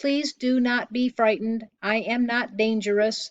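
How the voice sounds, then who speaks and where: A female-sounding, put-on character voice pitched fairly high. It moves at a moderate pace. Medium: read story. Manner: formal, even, no contractions.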